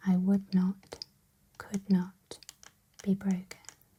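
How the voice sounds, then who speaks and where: The tone is calm. The speaker is soft-spoken. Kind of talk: reading book quotes, ASMR affirmations. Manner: soft-spoken, calm.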